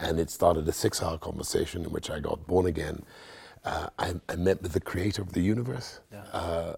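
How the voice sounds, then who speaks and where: Noticeable background noise sits behind a man speaking at a fairly quick pace. His pitch is very deep and low, with ordinary variation. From Nigeria. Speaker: pastor. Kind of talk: interview. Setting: studio.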